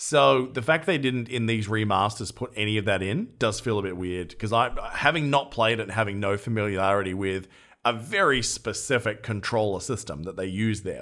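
In a very clean recording with a silent background, a man speaks with an Australian accent at a fairly quick pace. His pitch is fairly low, with ordinary variation. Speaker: podcast host. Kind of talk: casual chat.

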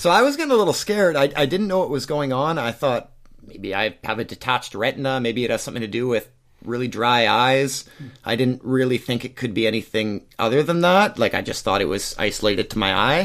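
This man has a normal speaking voice with a Canadian accent. He talks at a fairly quick pace with lively intonation. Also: medium pitch for a man. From Western Canada (Surrey, British Columbia). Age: 30s. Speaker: ultra runner and structural engineer. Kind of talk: interview.

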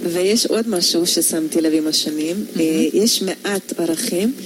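A woman speaks at a moderate pace with a fairly low pitch and lively intonation. Noticeable background noise is audible. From Hungary. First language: Hungarian (speaking Hebrew). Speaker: photographer. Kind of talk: radio interview. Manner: hesitant, many fillers.

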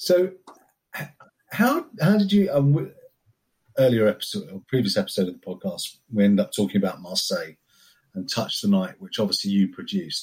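A man with a somewhat breathy, medium-pitched voice talks at a fairly quick pace, his pitch swinging very widely. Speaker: podcast host. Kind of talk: casual interview chat.

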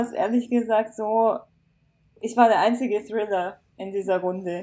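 A woman's fairly high voice has a dark, mellow tone and ordinary pitch variation as she speaks at a fairly slow pace. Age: 20s. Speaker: author. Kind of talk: casual chat.

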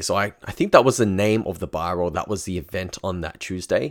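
An Australian accent on a very clean recording with a silent background. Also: man. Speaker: dating coach. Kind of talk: casual monologue storytelling.

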